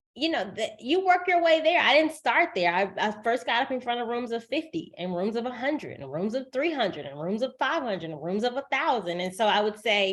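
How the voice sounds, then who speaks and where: At a fairly quick pace with hardly any pauses, a woman speaks in a high pitch with very wide pitch swings over noticeable background noise. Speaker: professional speaker. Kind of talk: interview. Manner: speeds up when excited.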